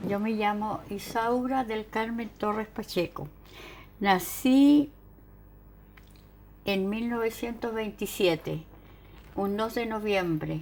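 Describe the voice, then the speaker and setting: A woman's fairly high voice with ordinary pitch variation, at a very slow pace with long, frequent pauses. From southern Chile, Chiloé (near Ancud). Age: 80s+. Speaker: retired dental technician. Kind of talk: oral history interview.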